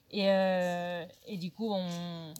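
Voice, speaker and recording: Someone talks with a Spanish accent over noticeable background noise. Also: woman. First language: Spanish (speaking French). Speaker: youth ministry worker. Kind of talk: personal testimony. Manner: halting.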